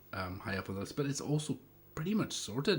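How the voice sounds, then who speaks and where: A man speaks with vocal fry at a fairly high pitch. His pitch swings very widely. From Scotland, Isle of Lewis (Western Isles). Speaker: retro computer hardware maker. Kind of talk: live stream chat. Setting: live stream. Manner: halting.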